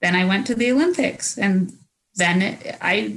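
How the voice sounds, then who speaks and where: With a Canadian accent, a woman speaks in a medium pitch that sounds somewhat breathy. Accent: Canadian-sounding. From New Zealand and Canada. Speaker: former Olympic biathlete. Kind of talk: casual interview.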